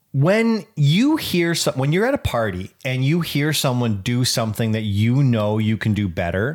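A man with an ordinary speaking voice talks at a moderate pace with hardly any pauses, his pitch medium. His intonation is lively and his loudness very even in a very clean recording with a silent background. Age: 30s. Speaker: podcast co-host. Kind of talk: casual chat.

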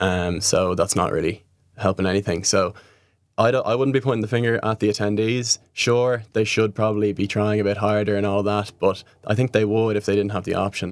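A man with a Dublin accent speaks at a fairly quick pace in a fairly low pitch, his intonation fairly even and his loudness very even. The recording is very clean, with a silent background. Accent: Irish (Dublin). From Ireland, Dublin. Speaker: festival waste management worker. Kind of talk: interview.

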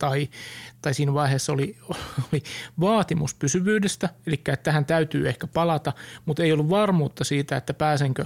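At a fairly quick pace, a man with a normal speaking voice talks in a fairly high pitch, the sound dry and close with no echo. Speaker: podcast co-host. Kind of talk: casual chat.

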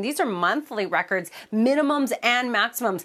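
Talking at a fairly quick pace with lively intonation, a woman has a fairly high pitch and a plain, everyday voice. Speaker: weather presenter. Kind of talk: TV weather forecast. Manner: friendly, relaxed, conversational.

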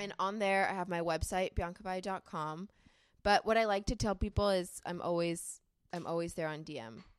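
On a very clean recording with a silent background, a woman with an American accent talks at a moderate pace in an ordinary speaking voice, medium in pitch with ordinary pitch variation. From California. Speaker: model and content creator. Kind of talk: casual chat.

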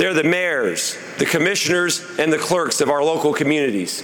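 Someone with a Midwestern US accent talks at a fairly slow pace with ordinary pitch variation, with audible room echo and noticeable background noise. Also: man. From rural Indiana, Jennings County. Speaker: political candidate. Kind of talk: campaign speech. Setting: stage with audience.

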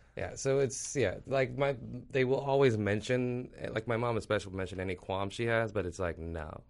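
With a General American accent, a man speaks in an ordinary speaking voice at a medium pitch. His pace is fairly quick, with ordinary pitch variation. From Ethiopia. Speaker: comedian. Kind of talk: casual interview chat.

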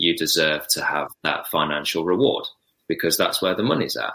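The speech comes at a very fast pace with ordinary pitch variation. Its tone is bright and sharp. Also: man. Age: 30s. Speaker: professional footballer. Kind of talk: casual chat.

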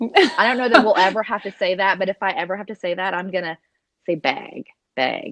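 Medium pitch from a woman in an Oklahoma accent, lively intonation at a moderate pace, broken by long, frequent pauses. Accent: Southern (Oklahoma). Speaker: podcast co-host. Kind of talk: casual chat.

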